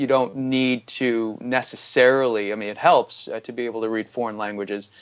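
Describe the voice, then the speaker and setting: A man speaks at a fairly quick pace with an American accent. His intonation is monotone and flat. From Iran, then US. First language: Farsi. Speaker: economic researcher. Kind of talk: interview. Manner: halting, many fillers.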